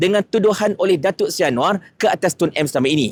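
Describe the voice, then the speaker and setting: A man speaks at a fairly quick pace with very wide pitch swings. The sound is dry and close with no echo. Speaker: political commentary youtuber. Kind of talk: video commentary monologue.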